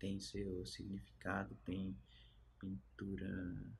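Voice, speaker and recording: Light background noise sits under a man's very slow speech. His fairly low voice has vocal fry and ordinary pitch variation. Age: 30s. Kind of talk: interview answers. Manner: halting, with many fillers. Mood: calm, earnest. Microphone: phone near.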